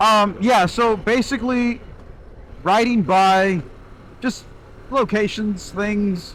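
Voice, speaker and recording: A loud man with a high voice, talking at a very slow pace with long, frequent pauses and ordinary pitch variation. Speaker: motovlogger. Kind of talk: casual vlog narration while riding. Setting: on a motorcycle, in helmet.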